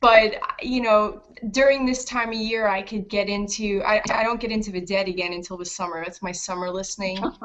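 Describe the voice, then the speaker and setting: Over noticeable background noise, a woman talks fairly quickly at a medium pitch with ordinary pitch variation. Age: 30s. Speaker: author and English teacher. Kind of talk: casual chat.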